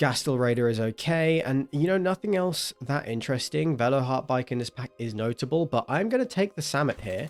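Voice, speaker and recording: Hardly pausing, a man with an ordinary speaking voice and a fairly high pitch uses lively intonation in a dry, close sound with no echo. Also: fairly quick pace. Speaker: gaming streamer. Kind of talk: gameplay commentary. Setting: at home late at night.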